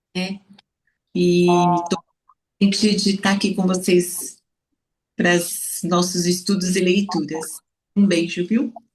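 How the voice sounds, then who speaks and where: Somewhat breathy, a woman speaks at a very slow pace in a monotone, flat intonation, with long, frequent pauses. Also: medium pitch for a woman. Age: 60s. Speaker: pedagogical support worker, study group member. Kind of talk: self-introduction.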